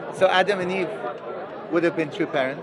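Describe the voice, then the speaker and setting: A man's high-pitched voice against crowd noise in the background. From England, Iranian family. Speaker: religious movement member. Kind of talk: street debate.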